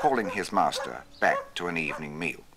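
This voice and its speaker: A man keeps a moderate pace as noticeable background noise plays. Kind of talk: 1960s documentary narration. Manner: formal, measured, polished BBC-style narrator.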